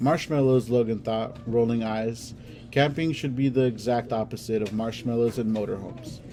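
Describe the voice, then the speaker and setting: A man puts on a robotic character voice at medium pitch and a moderate pace. Clear music plays in the background. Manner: monotone, robotic reading.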